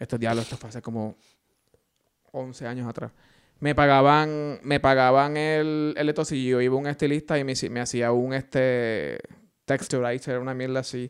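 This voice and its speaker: An ordinary speaking voice with fairly even intonation comes through on a very clean recording with a silent background. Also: man. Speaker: podcast co-host. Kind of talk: casual chat.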